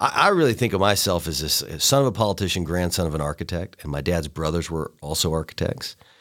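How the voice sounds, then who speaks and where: Talking at a very fast pace, a man with a very deep, low pitch and a Tennessee accent uses lively intonation. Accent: Southern US (Tennessee). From East Tennessee (Chattanooga). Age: 30s. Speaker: county mayor. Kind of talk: interview.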